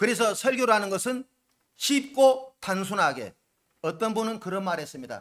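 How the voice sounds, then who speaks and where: Loud and high-pitched, a man speaks at a moderate pace with lively intonation. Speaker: pastor. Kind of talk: sermon.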